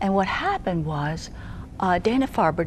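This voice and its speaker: Over noticeable noise in the background, a woman talks at a moderate pace. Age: 70s. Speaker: nurse and holistic healing coach. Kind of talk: interview.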